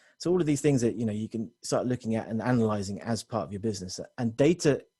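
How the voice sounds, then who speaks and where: A man's medium-pitched, dark and mellow voice at a very fast pace, with ordinary pitch variation against a quiet background. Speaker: technology consultant presenting to business owners. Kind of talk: webinar presentation. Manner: many fillers and restarts.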